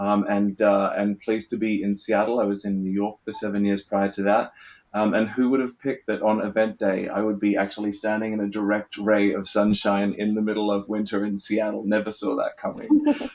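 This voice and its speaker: A man with an Australian accent speaks at a fairly quick pace with hardly any pauses, his fairly low voice held in a monotone, flat intonation. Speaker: event producer. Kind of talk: panel discussion. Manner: hesitant, many fillers.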